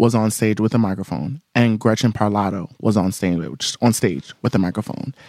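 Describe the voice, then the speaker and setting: In a normal speaking voice, a man talks at a moderate pace with a fairly low pitch and very even loudness, recorded very cleanly against a silent background in a dry, close sound with no echo. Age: 20s. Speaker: singer and music journalist. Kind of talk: casual interview.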